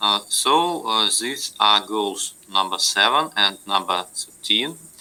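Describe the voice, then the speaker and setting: Speech comes very slowly. A non-native accent marks the voice. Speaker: university lecturer. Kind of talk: lecture. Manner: halting, many fillers.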